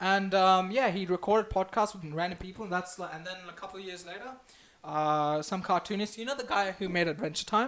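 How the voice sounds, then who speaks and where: A man with a high-pitched voice speaks at a fairly quick pace in an animated tone, with ordinary pitch variation and big swings in loudness. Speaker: live stream host. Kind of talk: casual chat. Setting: live stream.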